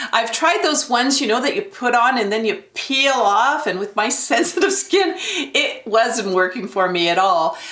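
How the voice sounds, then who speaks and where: Over noticeable background noise, a woman's high voice makes very wide pitch swings. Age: 60s. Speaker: beauty vlogger. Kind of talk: product review tutorial. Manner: casual, conversational with fillers.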